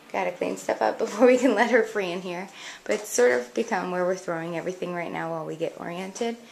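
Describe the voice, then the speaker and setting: A woman speaks quietly at a very fast pace, her loudness swinging widely. Her pitch sits in the middle, and her intonation is lively. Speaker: home decor blogger. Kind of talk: house tour narration. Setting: indoors at home.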